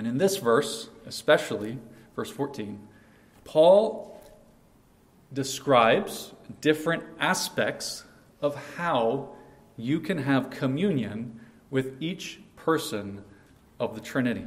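Very slow, with long and frequent pauses, a man talks at a fairly high pitch with lively intonation amid audible room echo. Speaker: pastor. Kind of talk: sermon.

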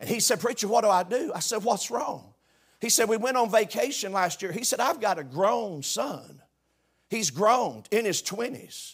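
A man's high voice with a Southern US accent, lively intonation and a moderate pace. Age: 60s. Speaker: preacher. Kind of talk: sermon.

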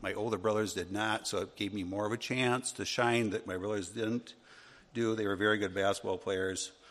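Speaking fast-ish, a man with an American accent keeps a monotone, flat intonation. His pitch is fairly low, and his pace fairly quick. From US Midwest, Wisconsin. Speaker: Sunday school teacher. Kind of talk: Bible class teaching.

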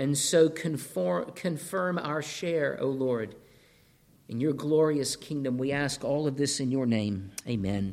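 A man speaks with lively intonation. His pitch is fairly high. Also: fairly slow pace. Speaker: preacher. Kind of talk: sermon. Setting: church. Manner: animated, excitable; volume and tone rise when excited.

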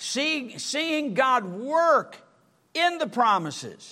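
A man speaks in a raised, projected voice. His tone is bright and sharp, with very wide pitch swings. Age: 70s. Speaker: pastor. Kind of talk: sermon. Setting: church.

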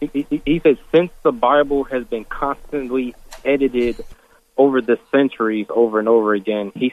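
A man speaks in a plain, everyday voice at a moderate pace with ordinary pitch variation. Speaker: caller. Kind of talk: call-in radio question. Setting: phone call.

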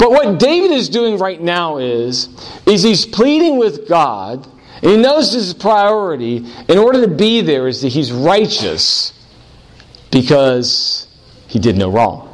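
A man's high-pitched voice with very wide pitch swings, at a fairly slow pace, with audible room echo. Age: 40s. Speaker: pastor. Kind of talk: sermon.

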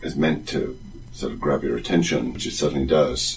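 Music plays in the background. A man speaks with a British accent. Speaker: theology teacher. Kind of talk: casual chat. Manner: halting.

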